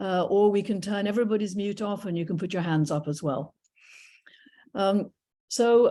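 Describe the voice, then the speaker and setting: With an English accent, a woman talks at a fairly quick pace in a dark, mellow tone with ordinary pitch variation. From England. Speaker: retired professor and naturalist docent. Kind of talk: illustrated talk. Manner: hesitant with frequent fillers.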